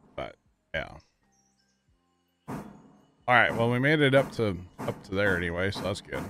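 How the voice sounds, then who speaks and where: Faint music plays behind a man whose fairly low voice sounds dry, with no echo. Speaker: livestreamer. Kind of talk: casual livestream chat. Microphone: headset.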